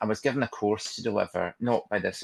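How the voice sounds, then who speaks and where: Speaking at a very fast pace, a man with a Glaswegian accent comes through in a dry, close sound with no echo. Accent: Glaswegian Scottish. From Scotland, Glasgow. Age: 60s. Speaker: trainer and counsellor. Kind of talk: webinar presentation.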